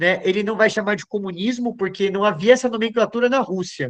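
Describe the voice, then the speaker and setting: Against a quiet background, a man talks with a high pitch. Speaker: lecturer, philosopher and psychoanalyst. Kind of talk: lecture.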